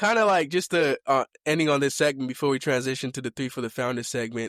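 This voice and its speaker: A man with an American accent speaks at a fairly high pitch with ordinary pitch variation. The recording is very clean with a silent background and a dry, close sound with no echo. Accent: American accent, deliberately acquired. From Kenya (born Mombasa, family from Limuru). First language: Kikuyu (also speaks Swahili). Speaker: podcast host. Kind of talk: casual chat. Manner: casual, with many fillers and restarts.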